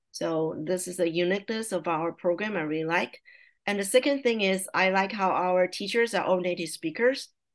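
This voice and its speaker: The speaker moves at a moderate pace with lively intonation. The background is quiet. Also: woman. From Taiwan. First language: Mandarin Chinese. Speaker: language teacher and parent. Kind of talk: casual interview.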